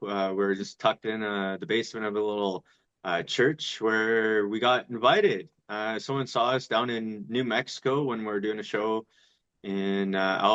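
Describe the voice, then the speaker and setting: This is an ordinary speaking voice from a man at medium pitch. He talks at a moderate pace in a dry, close sound with no echo. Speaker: actor and filmmaker. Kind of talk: interview conversation.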